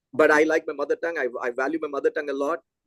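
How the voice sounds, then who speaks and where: This man, with a Telugu accent, talks at a very fast pace. The sound is dry and close, with no echo. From South India, Chennai. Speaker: physics education researcher. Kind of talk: lecture Q&A discussion.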